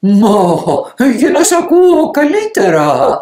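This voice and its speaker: A put-on character voice is pitched high. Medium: read story. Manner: sly, falsely sweet.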